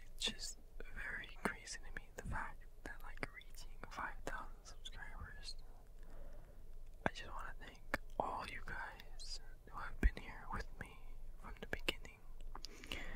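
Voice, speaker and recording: Loud background noise surrounds a man whose speech has long, frequent pauses. The sound is dry, with no echo. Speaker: ASMR channel host. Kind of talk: ASMR whispered ramble to camera. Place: home room. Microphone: studio mic.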